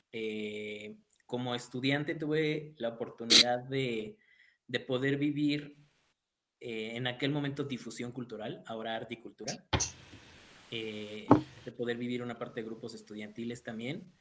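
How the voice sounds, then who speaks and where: The man's bright, sharp voice sits at medium pitch, moving at a fairly slow pace with fairly even intonation and long, frequent pauses. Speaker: university student life director. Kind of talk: casual chat.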